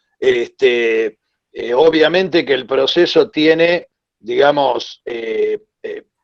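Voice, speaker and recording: His fairly high pitch carries a lively intonation as the man speaks. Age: 60s. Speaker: commission member and doctor. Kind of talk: virtual debate. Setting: video call.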